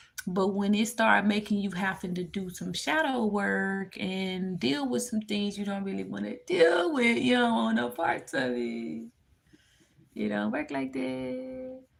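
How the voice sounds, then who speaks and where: A woman with a Memphis accent speaks at a fairly slow pace, her pitch moving in very wide swings. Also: medium pitch for a woman. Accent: US Southern (Memphis). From Memphis, Tennessee. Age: 20s. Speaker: spiritual tarot reader livestreamer. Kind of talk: livestream reading and chat. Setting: live stream.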